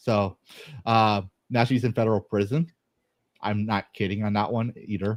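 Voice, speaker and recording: In an American accent, a man with a fairly low pitch speaks at a moderate pace with long, frequent pauses, the sound dry and close with no echo. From Texas. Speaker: army veteran, podcast guest. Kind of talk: casual chat. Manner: animated.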